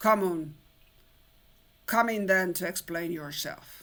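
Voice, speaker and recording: A female-sounding voice growls at a middle pitch and moderate pace in a put-on character voice. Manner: gruff, commanding.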